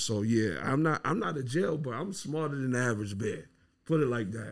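In a normal speaking voice, a man talks at a fairly quick pace with an American accent. The recording is very clean, with a silent background. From US Midwest and New York. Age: 30s. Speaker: rapper. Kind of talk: casual interview.

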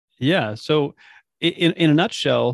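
Heard dry and close with no echo, a man with a western Canadian accent speaks with ordinary pitch variation. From British Columbia, Canada. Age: 30s. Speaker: online nutrition coach. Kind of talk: interview, personal story and advice.

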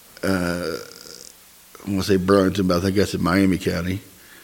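Noticeable background noise sits behind the speech. A man talks with a fairly low pitch. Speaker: podcast host, Freemason. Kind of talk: casual chat.

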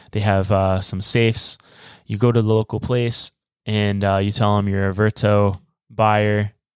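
Recorded very cleanly, dry and close with no echo and a silent background, a man speaks fairly slowly in a monotone, flat way. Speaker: travel podcast co-host. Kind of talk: casual chat.

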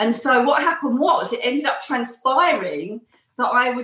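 A woman with an Essex accent, moderate pace and ordinary pitch variation, over noticeable background noise. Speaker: psychic medium and former police detective. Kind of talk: interview. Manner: animated.

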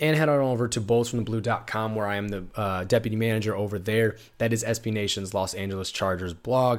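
A man talks at a very fast pace in an animated tone on a very clean recording with a silent background. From Iowa. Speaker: sports podcast host. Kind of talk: solo podcast recap.

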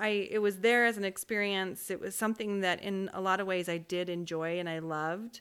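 An unremarkable speaking voice: a woman with an American accent talks fairly quickly at a medium pitch with fairly even intonation and hardly any pauses, on a very clean recording with a silent background. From Utah (Orem). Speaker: podcast co-host, spiritual coach. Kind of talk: casual chat.

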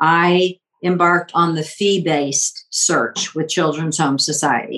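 A woman with an unremarkable speaking voice, fairly low pitch and a fairly slow pace. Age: 60s. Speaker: adoptee guest sharing her story. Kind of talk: personal storytelling in an interview.

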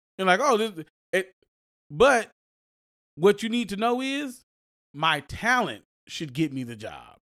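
A man's high, bright and sharp voice at a fairly slow pace, animated in tone, with very wide pitch swings, big shifts in loudness and long, frequent pauses. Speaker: podcast co-host. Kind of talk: casual banter podcast chat. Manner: animated, joking.

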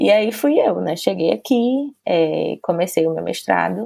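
Recorded with a dry, close sound and no echo, a woman is speaking. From Brazil, Salvador, Bahia. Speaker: journalist and publicist. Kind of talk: casual interview chat.

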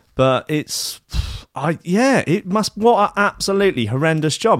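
With an English accent, a man speaks using very wide pitch swings. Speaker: podcast co-host. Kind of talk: casual chat.

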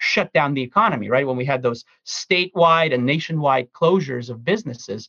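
A man with a fairly high pitch speaks at a fairly quick pace, with a normal speaking voice. His pitch varies in an ordinary way, and the sound is dry and close with no echo. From Ukraine (Kiev), raised in US from age 10. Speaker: economist and consulting advisor. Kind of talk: interview answers, conversational.

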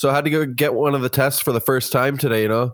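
A man speaks in a normal speaking voice with a Canadian accent. His pace is fairly quick, with ordinary pitch variation. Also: very clean recording, silent background. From Ontario, Canada (Kitchener). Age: 30s. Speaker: podcast guest sharing addiction recovery story. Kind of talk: casual interview, personal testimony.

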